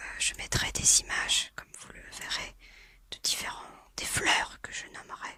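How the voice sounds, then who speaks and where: A woman whispers at a very slow pace. Background noise is noticeable throughout. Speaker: ASMR content creator. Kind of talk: casual talk to camera. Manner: whispered, soft-spoken.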